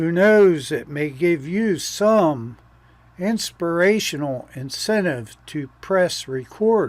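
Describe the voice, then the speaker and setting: A man talks at a very slow pace in a high pitch. His intonation is lively. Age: 70s. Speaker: video editor and YouTube creator. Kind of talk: casual talk to camera.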